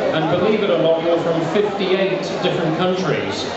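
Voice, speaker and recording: Audible room echo along with loud background noise. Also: man. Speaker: cruise ship host. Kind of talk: welcome speech to passengers. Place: hall. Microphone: pa.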